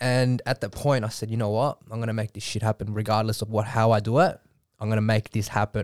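A man's medium-pitched voice with an Australian accent, monotone and flat at a very fast pace, in a dry, close sound with no echo and a very clean recording with a silent background. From Australia, Melbourne western suburbs. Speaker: model and entrepreneur. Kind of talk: podcast interview.

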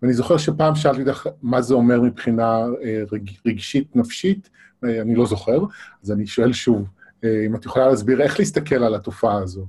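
His voice has a dark, mellow tone with a somewhat breathy quality. The man shows ordinary pitch variation. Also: medium pitch for a man, moderate pace. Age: 40s. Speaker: interviewer. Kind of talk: interview. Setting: live online broadcast.

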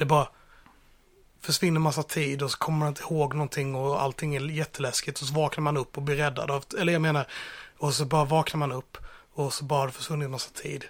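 A man with a fairly high voice speaks at a fairly quick pace, somewhat breathy. Long pauses come often, and the recording is very clean with a silent background. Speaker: podcast host. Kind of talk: role-play game chat. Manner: animated.

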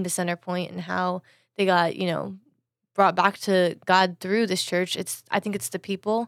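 Recorded very cleanly against a silent background, with a dry, close sound and no echo, a woman speaks at a fairly quick pace and medium pitch in a plain, everyday voice. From Florida, USA (adopted from China as infant). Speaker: church member. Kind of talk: casual chat.

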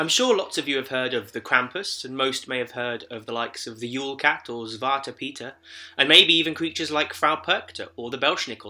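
A man with a British accent and a bright, sharp tone. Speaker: podcast host. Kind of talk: scripted podcast monologue.

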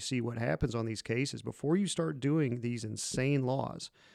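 A man with a plain, everyday voice speaks at a medium pitch and moderate pace with ordinary pitch variation on a very clean recording with a silent background. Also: hardly any pauses. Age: 40s. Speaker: police officer and podcast host. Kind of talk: casual chat.

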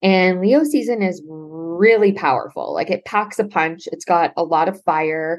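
In a Canadian accent, a woman with an ordinary speaking voice speaks at a fairly slow pace, her pitch fairly low and its variation ordinary. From Ontario, Canada (Brantford). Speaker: astrologer. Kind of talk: casual interview.

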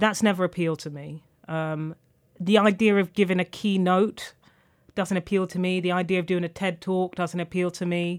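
In a London accent, a woman speaks at medium pitch and a moderate pace with monotone, flat intonation. The recording is very clean, with a silent background. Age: 20s. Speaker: author and journalist. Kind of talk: interview.

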